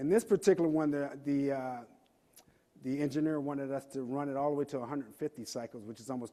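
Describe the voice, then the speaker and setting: His pitch is fairly high for a man. He talks at a fairly quick pace. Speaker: industry engineer presenting at conference. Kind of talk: technical conference presentation. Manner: hesitant with fillers and repetitions.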